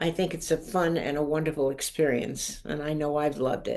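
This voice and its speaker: Her voice is very deep and low for a woman, with a dark, mellow tone. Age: 80s+. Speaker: harp composer and arranger. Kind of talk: video call interview.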